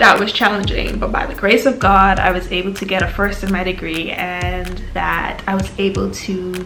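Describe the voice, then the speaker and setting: A woman speaks at a moderate pace with hardly any pauses. Music plays in the background. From Turks and Caicos Islands, Caribbean. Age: 20s. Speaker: medical student vlogger. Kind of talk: personal vlog monologue.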